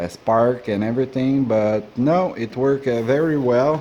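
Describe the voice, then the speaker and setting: In a Quebec accent, a man talks at a fairly slow pace, his medium pitch showing ordinary variation. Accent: Québécois French accent in English. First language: French. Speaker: woodturner. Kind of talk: tutorial. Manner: halting, many fillers.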